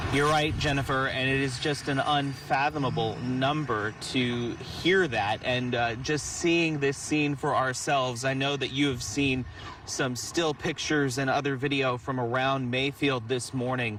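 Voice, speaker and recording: Over noticeable background noise, a man with a medium pitch speaks at a fairly slow pace with very even loudness, fairly even intonation and hardly any pauses. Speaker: television news reporter. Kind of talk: live on-location news report answering an anchor.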